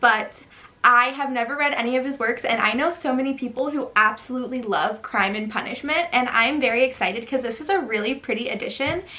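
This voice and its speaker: Against noticeable background noise, a woman talks at a fairly quick pace in a high pitch. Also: ordinary pitch variation. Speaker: book youtuber. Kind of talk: casual chat. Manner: animated.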